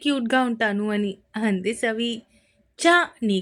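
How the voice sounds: Here is a natural reading voice. It carries the whole clip.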